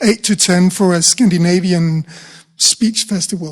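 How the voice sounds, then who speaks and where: This man speaks at a fairly slow pace with a Danish accent, his pitch high and its variation ordinary. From Denmark. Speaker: rhetoric professor. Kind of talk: panel discussion. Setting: conference room with audience.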